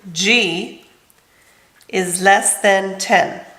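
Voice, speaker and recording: A woman at a medium pitch is heard with audible room echo. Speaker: middle school math teacher. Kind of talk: lecture.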